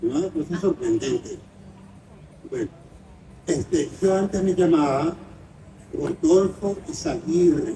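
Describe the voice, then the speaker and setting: A man's dark, mellow tone at a very slow pace, with fairly even intonation. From Venezuela, Caracas. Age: 90s. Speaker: writer and film critic. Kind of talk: interview.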